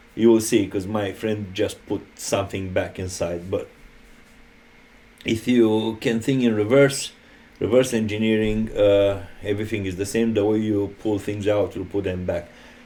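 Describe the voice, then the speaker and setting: A man speaks at a moderate pace with a Romanian accent. His fairly low voice has a dark, mellow tone and a flat, monotone delivery. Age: 50s. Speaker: electrician and HVAC technician. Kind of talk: tutorial. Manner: halting.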